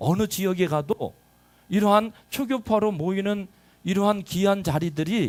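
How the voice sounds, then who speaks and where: The speaker is a man with a high pitch, talking at a moderate pace. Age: 50s. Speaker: pastor. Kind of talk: sermon.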